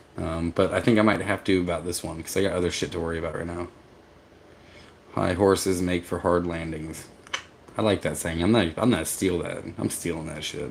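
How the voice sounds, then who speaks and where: Amid noticeable background noise, a man with a very deep, low pitch speaks with fairly even intonation. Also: fairly quick pace. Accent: American. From US South. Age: 40s. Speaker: vanlife vlogger. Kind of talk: livestream chat reading viewer comments. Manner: halting, with fillers.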